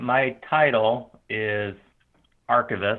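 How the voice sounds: A man at a slow pace, fairly low in pitch, with fairly even intonation.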